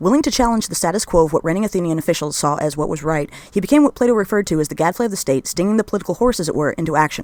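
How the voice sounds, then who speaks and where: Hardly any pauses break up this very fast delivery. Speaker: history narrator. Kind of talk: scripted narration.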